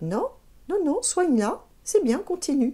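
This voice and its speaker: A put-on character voice sounds squeaky and extremely high, with very wide pitch swings and a calm, gentle tone. The pace is fairly slow. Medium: read story.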